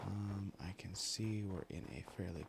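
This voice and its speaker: A soft-spoken, somewhat breathy man's voice, fairly low in pitch, at a very slow pace. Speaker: ASMR creator. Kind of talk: relaxing gameplay commentary. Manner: rambling.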